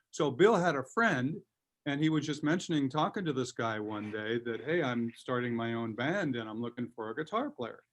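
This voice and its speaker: With a Californian accent, a man speaks at a medium pitch. He keeps a moderate pace and lively intonation. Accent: Californian American. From Southern California (Covina). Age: 60s. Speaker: guitarist and producer. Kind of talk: interview.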